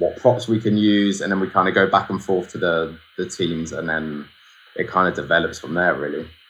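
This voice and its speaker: A man's bright, sharp tone with fairly even intonation, in a southern English accent. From southern England (Guildford, Surrey). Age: 20s. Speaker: photographer. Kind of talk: casual interview. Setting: video call.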